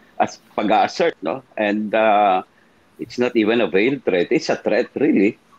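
A man talks fairly slowly in a voice of medium pitch. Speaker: former congressman and lawyer, political commentator. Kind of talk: political talk show discussion. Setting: live-streamed online show. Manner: halting, many fillers.

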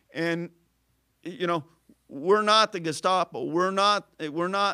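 With a southern Illinois accent, a man with a high pitch and a bright, sharp tone talks at a fairly slow pace with fairly even intonation, in a dry, close sound with no echo on a very clean recording with a silent background. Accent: Midwestern American (southern Illinois). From southern Illinois, Carbondale. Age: 50s. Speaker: local community figure. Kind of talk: casual interview.

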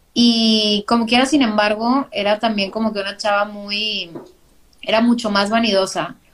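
A woman speaks fairly slowly with a northern Mexican accent. Her pitch is fairly high and her intonation fairly even. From northern Mexico, Monterrey. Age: 30s. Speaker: graphic designer and podcaster. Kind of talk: casual interview. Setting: live video stream.

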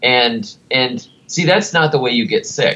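This man, in an American accent, talks at a fairly slow pace. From United States. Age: 30s. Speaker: garden writer and author. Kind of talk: casual interview.

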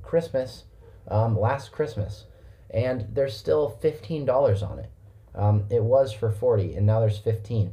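A man talks at a fairly slow pace in a dark, mellow tone. His voice is somewhat breathy, with ordinary pitch variation. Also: medium pitch for a man. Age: 20s. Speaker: podcast co-host. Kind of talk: casual chat.

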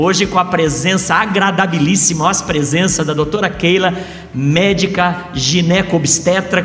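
A man with a high pitch talks at a fairly slow pace and fairly even intonation. Noticeable background noise and audible room echo surround him. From Brazil, interior of São Paulo state. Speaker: pastor. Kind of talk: live podcast interview.

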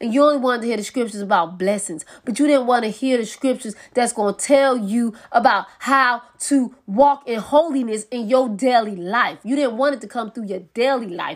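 Speaking at a moderate pace with hardly any pauses, a woman uses a high pitch, ordinary pitch variation and an animated tone. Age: 30s. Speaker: preacher. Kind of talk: sermon.

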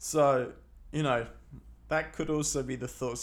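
The speaker has an East Midlands accent. Audible room echo surrounds the voice. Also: man. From Leicester, England. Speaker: photography podcaster. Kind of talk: casual solo monologue. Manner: hesitant, many fillers.

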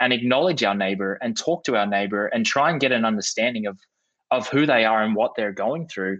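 Ordinary pitch variation comes through in this voice with an Australian accent. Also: man. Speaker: podcast host. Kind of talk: interview conversation.

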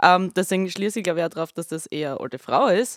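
A woman speaks in an ordinary speaking voice at a moderate pace. The recording is very clean with a silent background, and the sound is dry and close with no echo. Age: 30s. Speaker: band member podcast host. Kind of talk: casual chat.

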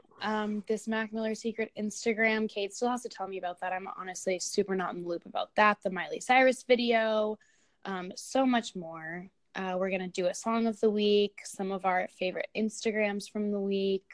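With an American accent, a woman has an unremarkable speaking voice at a medium pitch, with fairly even intonation and a moderate pace. The sound is dry and close, with no echo. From Illinois. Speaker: podcast co-host. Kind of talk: casual chat. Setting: remote recording.

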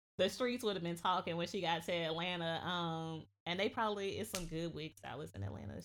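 On a very clean recording with a silent background, a woman with a fairly low pitch and vocal fry speaks with lively intonation and hardly any pauses. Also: fairly quick pace. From US South, Georgia. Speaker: podcast guest. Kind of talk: casual chat.

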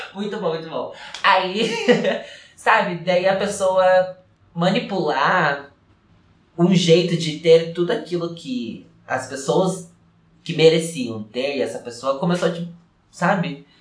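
A man with a high pitch and ordinary pitch variation, at a very slow pace with long, frequent pauses, amid audible room echo. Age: 20s. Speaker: dancer and dance teacher. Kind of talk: casual chat.

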